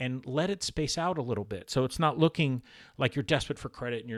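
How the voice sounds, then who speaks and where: In an ordinary speaking voice, a man talks at a fairly quick pace with ordinary pitch variation. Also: very clean recording, silent background. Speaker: author and credit repair educator. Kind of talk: tutorial. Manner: casual, conversational with fillers.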